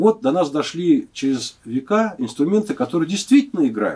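A man's pitch swings very widely against a quiet background. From Moscow, Russia; Russia. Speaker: guitar maker. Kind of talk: interview. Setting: workshop. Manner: halting. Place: workshop.

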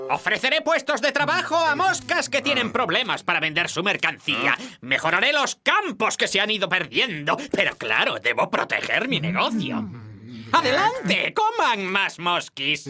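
A put-on character voice, fairly high in pitch, goes at a moderate pace over clear background noise. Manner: pompous sales pitch, bombastic.

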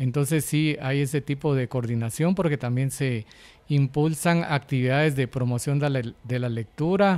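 This is a man with a plain, everyday voice. His pitch is fairly high, with ordinary pitch variation. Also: moderate pace. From Guatemala. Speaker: coordinator of braille and audiobook production, blind. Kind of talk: interview. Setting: on location at a hospital. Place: office. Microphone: handheld.

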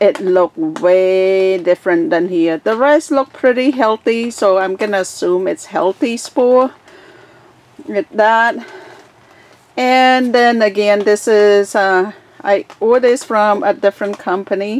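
Her loudness very even, a woman talks at a fairly slow pace with ordinary pitch variation in a dry sound with no echo. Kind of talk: casual tutorial narration. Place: garden. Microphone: phone near.

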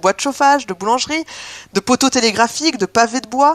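The sound is dry and close with no echo as a woman with a high pitch talks at a fairly quick pace with lively intonation. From Landes, southwest France. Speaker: history presenter. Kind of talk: informal lecture.

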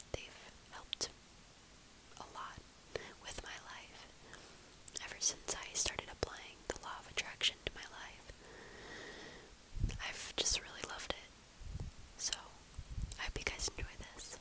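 A woman whispers in a gentle tone at a fairly slow pace. Her loudness swings widely, and long, frequent pauses break up her words. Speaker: ASMR content creator. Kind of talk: whispered positive affirmations video. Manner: gentle, soft whisper. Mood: calm, kind, reassuring. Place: home room. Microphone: earbuds.

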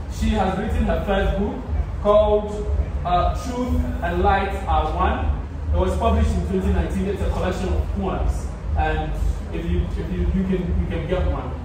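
Amid noticeable background noise and strong room echo, a man speaks at a moderate pace with long, frequent pauses. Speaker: event host introducing a guest. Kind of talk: formal introduction speech. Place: hall. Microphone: camera far.

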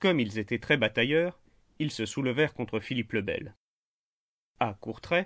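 A man at medium pitch with lively intonation and a moderate pace, in a very clean recording with a silent background. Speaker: history narrator. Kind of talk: scripted history narration for a general audience. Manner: measured, storytelling; clear and didactic.

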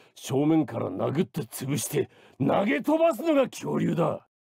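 A man puts on a character voice, talking fairly slowly. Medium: dub. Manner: growling, roaring, bombastic.

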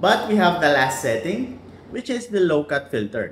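Speaking at a moderate pace, a man with a fairly high pitch and a slightly husky edge makes big pitch swings.

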